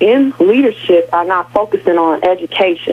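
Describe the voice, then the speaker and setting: At a moderate pace, someone speaks with an American accent over noticeable background noise. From Milwaukee, Wisconsin. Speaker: radio call-in caller. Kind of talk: phone-in comment. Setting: phone line.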